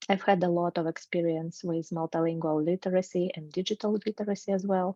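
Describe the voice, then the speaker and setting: A woman speaks with a dark, mellow tone. The background is quiet. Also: dry, close sound with no echo. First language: Russian. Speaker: researcher, graduate student. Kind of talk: academic presentation. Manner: hesitant, with filler sounds.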